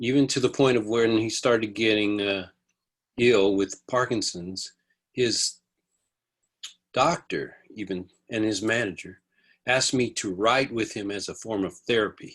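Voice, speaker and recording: In a very clean recording with a silent background, a man with an American accent speaks at a medium pitch and a fairly slow pace. His intonation is fairly even, with long, frequent pauses. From US, army bases in California. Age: 60s. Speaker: music producer and songwriter. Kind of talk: interview.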